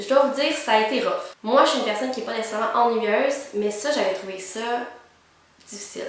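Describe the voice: Strong room echo surrounds a woman who talks at a fairly high pitch and a fairly quick pace, with ordinary pitch variation.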